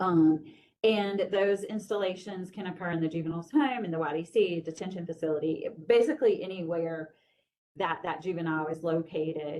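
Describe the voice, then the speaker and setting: A woman in an ordinary speaking voice, fairly low in pitch, at a moderate pace. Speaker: juvenile justice program staff presenter. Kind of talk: training presentation.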